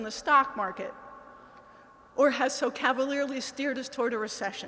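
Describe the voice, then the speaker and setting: Noticeable background noise sits behind a high-pitched woman. She speaks with an American accent. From Pennsylvania. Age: 60s. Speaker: political candidate. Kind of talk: campaign speech. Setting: in-person event with audience.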